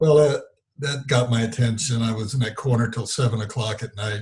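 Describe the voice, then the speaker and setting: At a moderate pace, a man talks in a somewhat breathy voice with fairly even intonation. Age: 70s. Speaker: spiritual teacher. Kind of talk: interview storytelling. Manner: halting, with many fillers.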